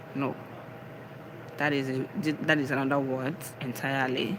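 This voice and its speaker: Someone speaks with a Nigerian accent against noticeable background noise. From Nigeria, Ebonyi state. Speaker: live streamer, spiritual and wellness talk. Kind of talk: casual live stream talk, motivational. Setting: live stream. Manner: animated.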